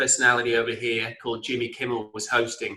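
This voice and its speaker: A man with an English accent talks at a fairly quick pace, his medium-pitched voice carrying a bright, sharp tone. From England (Blackpool). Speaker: entrepreneur and author. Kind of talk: interview.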